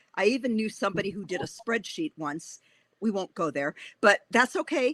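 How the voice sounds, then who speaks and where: Animated and bright, a woman's sharp, medium-pitched voice moves at a fairly quick pace in a very clean recording with a silent background and a dry, close sound with no echo. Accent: Wisconsin. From Wisconsin, Racine. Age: 60s. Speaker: author. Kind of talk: interview.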